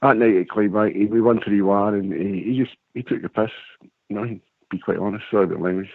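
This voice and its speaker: A man with a Scottish accent speaks at a very fast pace. His pitch is fairly low and his intonation fairly even. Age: 60s. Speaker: caller, former footballer. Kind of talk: casual chat.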